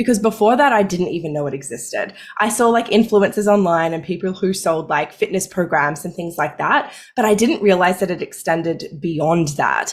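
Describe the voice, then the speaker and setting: Delivered at a moderate pace in an Australian accent, the speech shows ordinary pitch variation. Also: woman. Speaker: money mindset coach, former pharmacist. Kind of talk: podcast interview.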